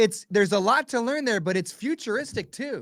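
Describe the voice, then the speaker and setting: A man speaks at a moderate pace with a high pitch and lively intonation. His tone is bright, sharp, animated and enthusiastic. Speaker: Bitcoin podcaster and educator. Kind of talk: casual podcast conversation. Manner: animated, enthusiastic.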